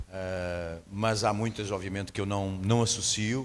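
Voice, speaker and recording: At a fairly slow pace, a man with a strong European Portuguese accent speaks in a fairly low pitch with fairly even intonation. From Portugal. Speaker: guest preacher. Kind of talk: sermon. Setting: church.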